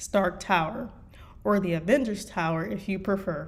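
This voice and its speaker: With an American accent, a woman speaks at a moderate pace and medium pitch, her pitch varying in an ordinary way amid audible room echo. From US Midwest. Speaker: fanfiction writer and streamer. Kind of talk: reading aloud. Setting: live stream. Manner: halting.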